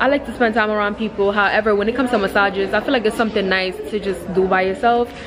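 The speech comes at a very fast pace. Clear music plays in the background. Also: woman. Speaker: vlogger. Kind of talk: casual vlog chat. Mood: reflective, advice-giving. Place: shop. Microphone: phone near.

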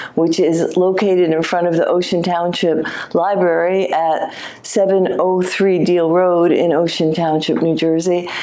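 A woman's fairly low-pitched voice with monotone, flat intonation. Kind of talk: guided gallery talk. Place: hall. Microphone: lapel.

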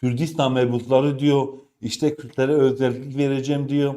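A dark, mellow tone at a fairly slow pace. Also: man. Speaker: political commentary YouTuber. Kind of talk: news commentary monologue.

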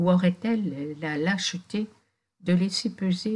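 Ordinary pitch variation in plain reading aloud, the background quiet.

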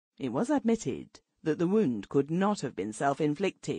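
Against a quiet background, a woman with a fairly low pitch and a dark, mellow tone speaks at a moderate pace with vocal fry. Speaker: audiobook narrator. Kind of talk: audiobook narration, reading aloud a formal early twentieth-century prose text. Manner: formal, measured literary delivery; steady, storyteller pacing with long flowing sentences.

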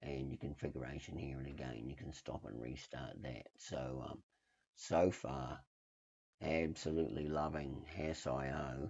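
Vocal fry, fairly even intonation, and a fairly slow pace. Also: man, very deep, low pitch for a man. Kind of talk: casual tech screencast walkthrough. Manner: hesitant, many filler words.

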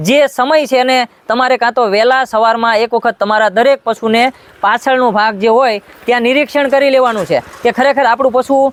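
An extremely high-pitched male voice with fairly even intonation and very even loudness, dry and close with no echo, over noticeable background noise. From Gujarat, Botad district (Saurashtra). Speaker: artificial insemination technician. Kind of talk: tutorial.

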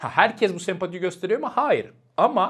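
The background is silent and the recording very clean. A man's voice is heard. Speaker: professor and YouTuber. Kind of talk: casual vlog-style commentary. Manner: animated, chatty with laughter.

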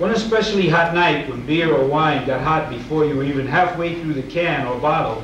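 The voice moves at a moderate pace, with audible room echo and light background noise. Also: man. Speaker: writer reading a short story. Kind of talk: reading a short story aloud. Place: hall.

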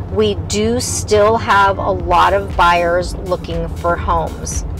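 Over clear background music, a woman speaks very slowly in a dry sound with no echo. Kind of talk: casual tour commentary. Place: car.

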